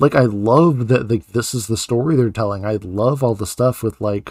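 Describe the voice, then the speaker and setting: In a dry, close sound with no echo and a very clean, silent background, a man with an unremarkable speaking voice talks at a moderate pace and medium pitch. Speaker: podcast host and author. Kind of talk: casual chat.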